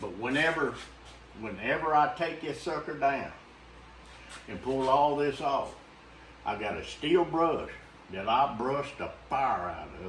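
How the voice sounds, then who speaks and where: In a Louisiana accent, a man speaks fairly slowly with long, frequent pauses, a fairly high pitch, ordinary pitch variation and big swings in loudness. Audible room echo and noticeable background noise fill the recording. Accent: Louisiana Southern US. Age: 70s. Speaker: taxidermist. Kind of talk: casual chat.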